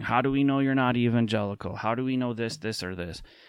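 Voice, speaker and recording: A man with an American accent and a plain, everyday voice talks fairly quickly at a medium pitch, recorded very cleanly with a silent background. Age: 30s. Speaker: podcast host and speaker on faith. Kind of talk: talk to small community group. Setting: at home in his apartment.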